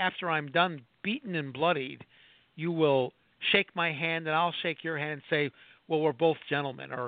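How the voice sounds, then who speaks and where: This man has an ordinary speaking voice, pitched fairly high, with ordinary pitch variation and a moderate pace. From Chicago, US Midwest. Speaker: professor, former lobbyist. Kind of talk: radio interview.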